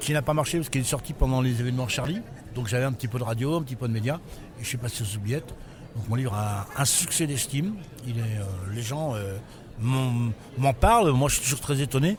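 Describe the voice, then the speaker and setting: A man speaks fairly quickly at medium pitch with ordinary pitch variation, leaving long, frequent pauses. Noticeable background noise can be heard. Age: 60s. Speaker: writer and former prisoner. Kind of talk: interview. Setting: book fair. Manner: halting.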